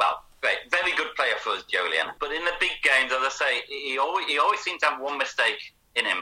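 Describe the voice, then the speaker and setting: Talking at a fairly quick pace, a man speaks in a northern English accent. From northern England, Manchester and Leeds. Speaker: author and football fan. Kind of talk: interview. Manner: halting, many repeated words.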